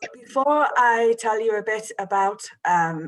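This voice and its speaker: The voice has an English accent and lively intonation. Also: woman. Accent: English accent, own remark. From northern England, Manchester. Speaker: creative writing teacher. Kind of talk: online workshop for students. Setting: video call with screen share.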